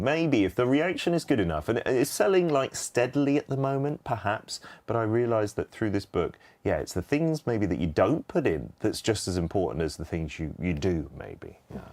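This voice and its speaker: A man in a British accent, medium-pitched, with very wide pitch swings, vocal fry and a moderate pace. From England. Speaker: radio and TV personality, author. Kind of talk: interview answer. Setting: studio. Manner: casual, chatty.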